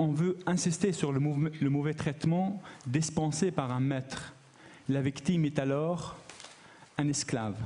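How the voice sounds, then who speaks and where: A man speaks at a very slow pace in a dark, mellow tone, somewhat breathy. His pitch is fairly high, with ordinary pitch variation. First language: not French, learned French recently as adult (speaking French). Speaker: academic researcher, conference speaker. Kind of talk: conference talk.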